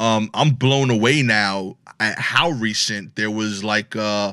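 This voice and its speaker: On a very clean recording with a silent background, a man with a New York accent talks in a fairly low, bright, sharp voice. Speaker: comedian. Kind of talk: casual chat.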